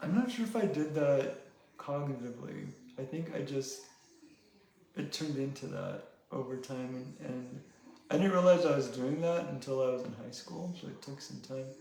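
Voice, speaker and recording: A man with a fairly high voice speaks with ordinary pitch variation, big swings in loudness, and long, frequent pauses. Audible room echo and noticeable background noise are present. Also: moderate pace. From Mexico. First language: Spanish. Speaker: painter and sculptor. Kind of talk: casual interview. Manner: hesitant, many fillers.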